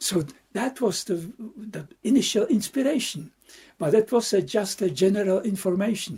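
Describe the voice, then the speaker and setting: A man with a Czech accent speaks at a moderate pace and a high pitch. His tone is dark and mellow, and his intonation is lively. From Czechia. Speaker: Buddhist monk and meditation teacher. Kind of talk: dharma talk. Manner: halting, with repetitions.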